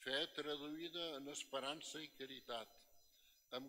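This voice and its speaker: The man's speech moves at a very slow pace. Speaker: priest giving homily. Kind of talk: sermon. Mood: solemn, respectful. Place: church. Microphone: podium.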